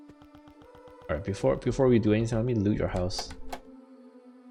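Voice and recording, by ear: The pitch moves in an ordinary way. The voice is natural, reading aloud.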